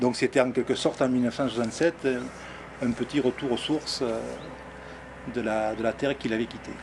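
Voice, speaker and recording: Speaking fairly quickly in a southern French accent, a man with a medium pitch uses fairly even intonation and takes long, frequent pauses. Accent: southern French (Midi). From southern France, near Arles. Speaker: local resident, interviewee. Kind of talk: documentary interview. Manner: halting, many hesitations.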